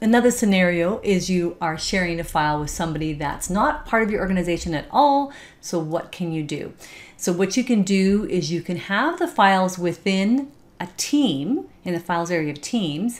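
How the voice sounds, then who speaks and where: At a moderate pace, a woman speaks with lively intonation. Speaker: software trainer. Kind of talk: tutorial. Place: home room. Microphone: webcam.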